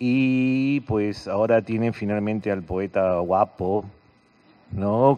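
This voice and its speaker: Speaking at a very slow pace, a man uses fairly even intonation. His pitch is fairly low. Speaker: event presenter. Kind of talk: stage introduction. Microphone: podium.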